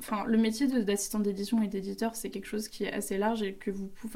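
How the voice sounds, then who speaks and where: Her dark, mellow voice sits at a medium pitch as the woman speaks at a fairly quick pace in a monotone, flat intonation. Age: 20s. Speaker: publishing assistant apprentice. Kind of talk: casual interview.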